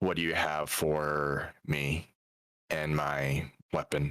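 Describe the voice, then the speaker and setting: In a put-on character voice, a man growls at a very slow pace with a very deep, low pitch and monotone, flat intonation. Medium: actual play. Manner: terse, formal.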